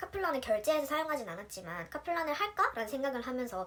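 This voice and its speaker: A woman's very fast speech with very wide pitch swings over noticeable background noise. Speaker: nurse. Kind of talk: tutorial. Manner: casual, chatty.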